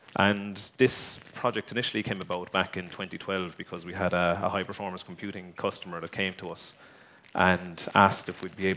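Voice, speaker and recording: Very deep and low in pitch, a man with an Irish accent talks at a fairly quick pace in a bright, sharp tone with monotone, flat intonation. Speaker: tech company executive. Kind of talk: conference talk. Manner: hesitant, many fillers.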